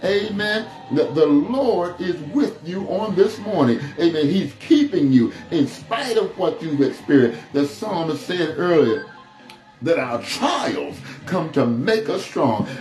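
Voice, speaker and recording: A man's voice with audible room echo and faint music in the background. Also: fairly slow pace. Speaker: pastor. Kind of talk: sermon. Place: empty room.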